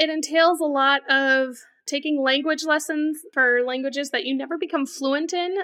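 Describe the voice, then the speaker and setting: A woman's high voice is raised and projected, with a bright, sharp tone. She speaks at a moderate pace. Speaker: guest, singer and song contest entrant. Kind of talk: casual chat.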